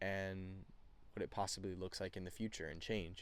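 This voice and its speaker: On a very clean recording with a silent background, a man talks. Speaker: student. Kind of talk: class presentation podcast, partly scripted. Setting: outdoors on a porch. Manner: halting, many fillers.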